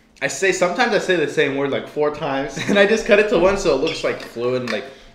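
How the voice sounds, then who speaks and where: Speech comes at a very fast pace in an American accent with lively intonation. Noticeable background noise and audible room echo surround it. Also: man, high pitch for a man. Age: young. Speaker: filmmaker. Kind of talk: casual chat. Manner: animated.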